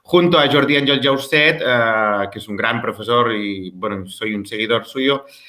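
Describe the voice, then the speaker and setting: A man with a Catalan accent talks at a fairly slow pace with hardly any pauses, at a medium pitch. His pitch varies in an ordinary way, and his loudness swings a lot. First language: Catalan (speaking Spanish). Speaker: music teacher and researcher. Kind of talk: interview. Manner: halting, with fillers.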